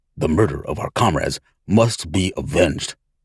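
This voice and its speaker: A man's put-on character voice, growling and fairly low-pitched, at a moderate pace. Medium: read story. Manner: gruff, guarded.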